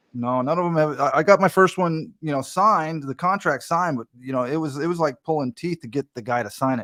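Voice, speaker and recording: A man with a plain, everyday voice and a fairly high pitch talks at a fairly quick pace with lively intonation. The sound is dry and close with no echo, in a very clean recording with a silent background. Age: 50s. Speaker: podcast host. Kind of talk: casual chat.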